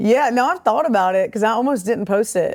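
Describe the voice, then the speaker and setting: A woman talks at a fairly quick pace with a strong Southern accent and ordinary pitch variation. The recording is very clean, with a silent background. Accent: thick Southern. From US South, small-town Alabama. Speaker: comedian. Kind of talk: casual chat.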